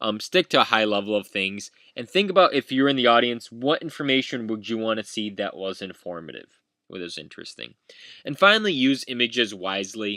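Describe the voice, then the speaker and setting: A man speaks at a medium pitch and a fairly quick pace, his loudness swinging widely. His tone is bright and sharp, his intonation lively, and the recording is very clean with a silent background. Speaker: university instructor. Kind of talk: lecture. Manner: frequent filler words; halting.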